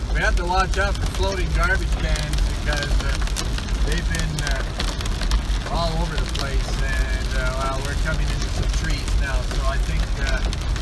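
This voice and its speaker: The pace is fairly slow. Loud background noise runs throughout. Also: man. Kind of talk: casual running commentary. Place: car. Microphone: phone near.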